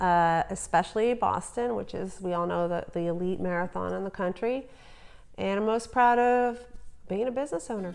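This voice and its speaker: A woman speaks with a New Jersey accent. Music plays in the background. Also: medium pitch for a woman, ordinary pitch variation, moderate pace. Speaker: entrepreneur, business owner. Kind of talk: interview answer.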